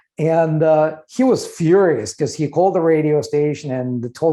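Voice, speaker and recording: A man with a Russian accent speaks at a moderate pace in a dark, mellow tone. His pitch varies in an ordinary way against a quiet background. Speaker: trademark lawyer and business owner. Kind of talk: podcast interview. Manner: conversational with frequent fillers.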